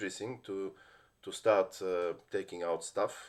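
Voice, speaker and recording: A man talks with a Bulgarian accent. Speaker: lawyer. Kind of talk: personal story monologue. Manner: halting, many fillers and restarts.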